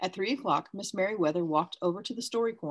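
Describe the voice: Reading aloud, plain and simple.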